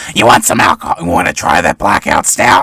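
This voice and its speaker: A man does a put-on character voice. He talks at a fairly quick pace. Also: dry, close sound with no echo. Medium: actual play. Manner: warm, calls everyone honey or sweetie.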